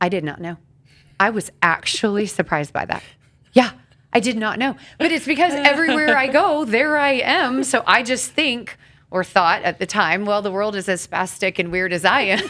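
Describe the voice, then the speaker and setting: A woman speaks loudly with a bright, sharp tone and very wide pitch swings. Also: fairly high pitch for a woman. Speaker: podcast co-host. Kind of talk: casual podcast discussion. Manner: fast.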